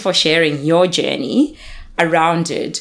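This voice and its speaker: A woman with a fairly low pitch uses a normal speaking voice at a fairly slow pace. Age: 30s. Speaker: podcast co-host. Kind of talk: casual chat.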